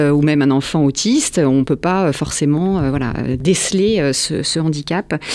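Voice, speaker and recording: A woman's very deep, low voice at a fairly slow pace, with fairly even intonation. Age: 40s. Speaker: founder of a center for neurodivergent children. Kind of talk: radio interview. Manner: hesitant, many fillers.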